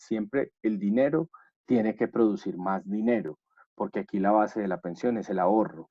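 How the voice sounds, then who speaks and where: An ordinary speaking voice, a man's, fairly low in pitch, with ordinary pitch variation and a moderate pace. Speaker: course instructor. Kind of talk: online lecture.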